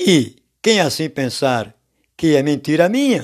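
A man speaks very slowly, his fairly high pitch making very wide swings. The recording is very clean, with a silent background. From Brazil, Alagoas (Maceió). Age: 60s. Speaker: lay preacher. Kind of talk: sermon.

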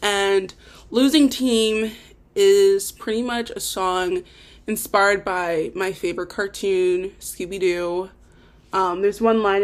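In a very clean recording with a silent background, a woman speaks at medium pitch with ordinary pitch variation and a plain, everyday voice. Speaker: podcaster and amateur songwriter. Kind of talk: casual solo podcast monologue. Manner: rambling, informal, self-deprecating.

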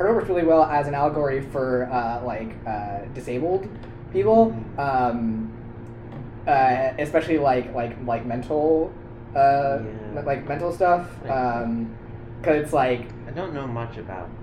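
There's noticeable background noise while a man delivers his words fairly slowly. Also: medium pitch for a man, ordinary pitch variation. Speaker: college student podcast co-host. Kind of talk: casual chat.

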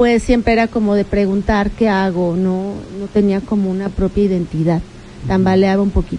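A woman speaks at a moderate pace in a medium-pitched voice with ordinary pitch variation. Noticeable background noise runs underneath. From Mexico, Puebla (Tecamachalco). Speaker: local politician. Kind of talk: radio interview. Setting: radio studio.

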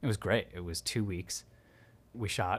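A man's unremarkable speaking voice, fairly low-pitched, with an American accent, at a moderate pace on a very clean recording with a silent background. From New Jersey. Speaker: sound artist and audio engineer. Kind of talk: casual chat.

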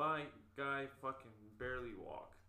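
A man speaks at a medium pitch with a bright, sharp tone. Audible room echo surrounds his voice. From Winnipeg, Canada. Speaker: podcast guest. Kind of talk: casual chat.

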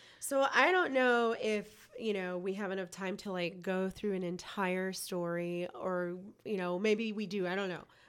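A woman at a fairly slow pace with fairly even intonation, hardly any pauses, and noticeable background noise. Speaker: podcast co-host. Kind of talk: casual chat.

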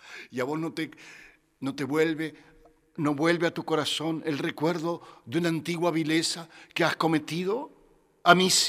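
A man with a fairly high voice speaks at a fairly slow pace. Long pauses come often. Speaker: radio host. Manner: animated.

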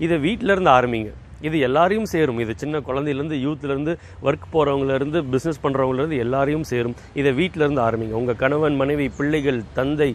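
A man's fairly high voice carries over noticeable background noise. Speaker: motivational speaker. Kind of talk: motivational talk. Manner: conversational, colloquial.

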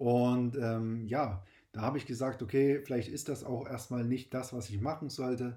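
The tone is dark and mellow. Intonation stays fairly even. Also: man, medium pitch for a man, moderate pace. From Saxony, eastern Germany. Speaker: podcast host, insurance broker. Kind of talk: personal monologue. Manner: hesitant with fillers.

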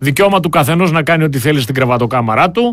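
A man with a normal speaking voice, fairly high pitch, lively intonation and a fairly quick pace. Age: 50s. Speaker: political commentator. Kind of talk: political talk show discussion. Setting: studio.

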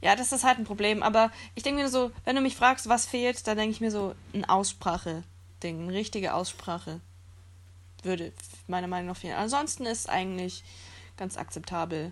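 A woman's medium-pitched voice at a moderate pace, with ordinary pitch variation and long, frequent pauses, on a very clean recording with a silent background. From Germany. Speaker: podcast guest. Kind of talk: casual chat.

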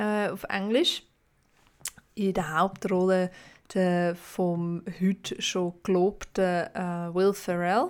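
In a very clean recording with a silent background, a woman speaks at a very slow pace with long, frequent pauses, her medium pitch held in a monotone, flat intonation. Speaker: podcast host. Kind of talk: casual chat.

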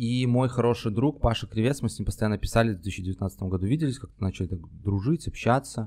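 A man speaks at a very fast pace. His voice sits at a medium pitch with ordinary variation. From Belarus, Minsk. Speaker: stand-up comedian and screenwriter. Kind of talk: casual chat.

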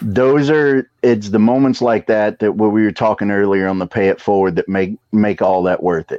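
Speaking with a slight Southern US accent, a man uses a fairly low pitch with ordinary variation and hardly any pauses. The sound is dry and close, with no echo. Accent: slight Southern drawl. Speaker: pro wrestler and wrestling school trainer. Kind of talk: casual chat.

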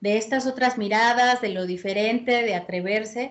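A woman talks fairly slowly, her intonation fairly even. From Puebla, Mexico. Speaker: musician and fandango dancer. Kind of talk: casual interview. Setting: video call.

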